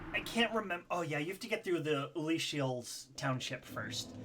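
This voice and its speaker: Noticeable background noise accompanies a man whose fairly high voice swings very widely in pitch at a moderate pace. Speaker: video game streamer. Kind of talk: casual live gameplay commentary. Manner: halting, many fillers.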